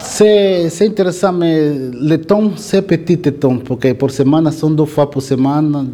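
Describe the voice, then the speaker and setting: In a Portuguese accent, a man speaks at a very slow pace with ordinary pitch variation over noticeable background noise. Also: hardly any pauses. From Angola. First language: Portuguese (speaking French). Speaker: inmate learner. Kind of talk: classroom discussion. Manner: halting.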